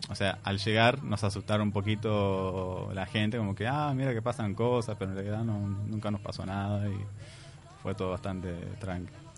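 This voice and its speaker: Here a man speaks at a fairly low pitch. His pace is moderate. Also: fairly even intonation. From Palestine. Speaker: immigrant guest. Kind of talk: interview.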